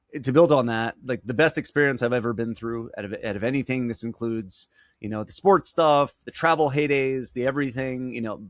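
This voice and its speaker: A man with a New York accent speaks at a medium pitch, with ordinary pitch variation. He barely pauses, and his loudness swings widely. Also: fairly quick pace. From New York, Long Island. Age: 40s. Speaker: business advisor. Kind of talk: interview. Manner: fast.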